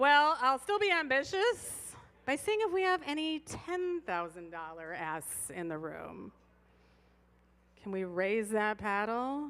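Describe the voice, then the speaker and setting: Loud and at a very slow pace, a woman speaks at a high pitch with very wide pitch swings. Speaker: fundraising auctioneer. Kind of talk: live paddle-raise fundraising appeal. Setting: stage at live event with audience, livestreamed. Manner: animated.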